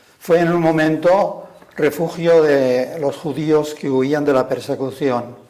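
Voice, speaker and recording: Over noticeable background noise, a fairly high-pitched man talks with fairly even intonation. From Spain, Castile (Burgos). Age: 80s+. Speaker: retired religious brother and school director. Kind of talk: personal testimony. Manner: halting.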